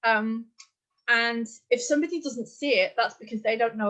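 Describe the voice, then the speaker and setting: Speaking with an English accent, a woman keeps a fairly quick pace. Her pitch is fairly high, with ordinary variation. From England. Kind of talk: live Q&A interview.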